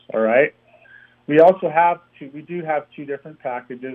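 A man with an unremarkable speaking voice. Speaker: comedian and golf company founder. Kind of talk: casual interview. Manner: humorous, laughing.

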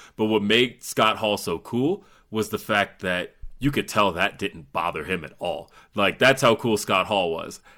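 On a very clean recording with a silent background, a man with a fairly low pitch speaks at a fairly slow pace in a bright, sharp tone with ordinary pitch variation. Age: 30s. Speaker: wrestling podcaster. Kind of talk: casual wrestling discussion.

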